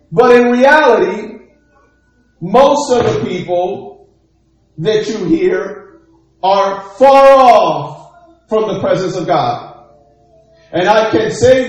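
Over music in the background, a man talks at a very slow pace with lively intonation and long, frequent pauses. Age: 40s. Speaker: pastor. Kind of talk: sermon. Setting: church livestream.

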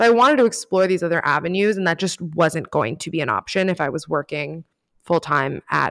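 A woman with an American accent speaks at a moderate pace in a fairly low pitch, her intonation lively and her tone animated. The sound is dry and close with no echo, on a very clean recording with a silent background. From Miami, Florida. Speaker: writer and podcast host. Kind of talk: casual chat.

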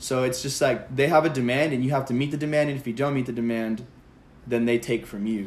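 A man's very fast speech at a medium pitch, with an American accent and fairly even intonation. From Palm Springs, California. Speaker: college student guest. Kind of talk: casual chat.

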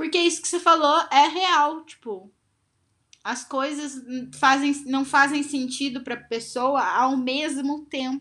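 Against a quiet background, a woman with a high pitch and a bright, sharp tone speaks very slowly in a raised, projected voice, with ordinary pitch variation and big swings in loudness. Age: 20s. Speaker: podcast co-host. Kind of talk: casual chat.

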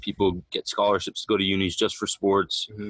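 The sound is dry and close, with no echo. A man speaks at a fairly low pitch in a Canadian accent. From Canada. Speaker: student-athlete, semi-pro soccer player. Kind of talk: casual interview. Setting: in person.

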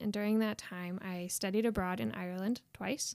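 A woman's fairly quick speech with ordinary pitch variation, on a very clean recording with a silent background. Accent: Midwestern American. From Indiana, US Midwest. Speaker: PhD student and former student. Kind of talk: casual interview.

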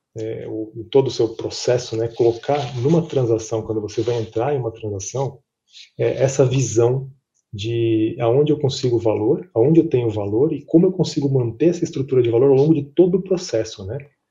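A man speaks with medium pitch and ordinary pitch variation. His voice is somewhat breathy. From Brazil, São Paulo. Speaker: M&A advisor. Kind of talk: interview. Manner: halting, frequent fillers.

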